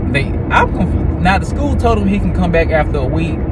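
Loud background noise accompanies a dry sound that has no echo. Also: man. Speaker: vlogger. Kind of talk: casual vlog chat. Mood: concerned, reflective. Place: car. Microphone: phone near.

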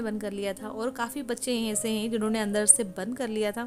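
Clear music plays behind a woman speaking. She keeps a fairly even intonation at a moderate pace. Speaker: home vlogger. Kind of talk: casual vlog chat. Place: kitchen. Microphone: phone near.

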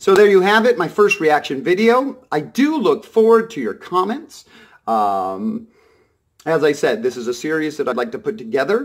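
Against a quiet background, a man with a high-pitched voice speaks at a moderate pace with very wide pitch swings. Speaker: vlogger. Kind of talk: casual vlog monologue. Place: home room. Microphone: phone near.

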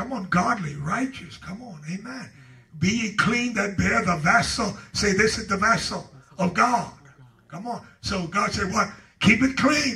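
Over noticeable background noise, a man projects a raised voice in an animated tone, his pitch high with ordinary variation and his loudness swinging widely. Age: 70s. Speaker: pastor. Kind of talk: Bible study teaching. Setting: church.

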